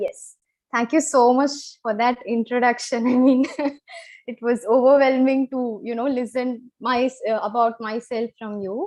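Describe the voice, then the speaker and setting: The speaker has a Kannada accent. The pace is fairly slow and the intonation fairly even. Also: woman, high pitch for a woman. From Chennai, South India. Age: 20s. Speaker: financial planner sharing health story. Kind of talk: live interview. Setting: live stream.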